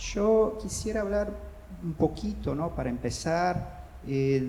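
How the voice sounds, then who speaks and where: Someone with a Brazilian accent talks at a very slow pace, with audible room echo and noticeable background noise. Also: man. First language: Portuguese (speaking Spanish). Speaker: panelist at book fair. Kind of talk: panel discussion. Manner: halting, many repetitions.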